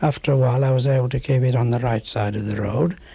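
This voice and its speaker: This man's voice sits at medium pitch, somewhat breathy and dark, mellow in tone, with ordinary pitch variation. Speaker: oral history interviewee. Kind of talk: oral history interview answer. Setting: interview recording.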